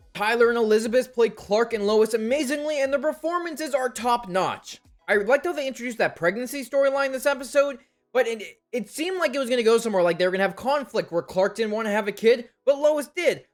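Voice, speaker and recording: Over music in the background, a man talks in an animated tone at a very fast pace. His pitch is extremely high, with ordinary variation. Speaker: TV show reviewer. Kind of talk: video review commentary.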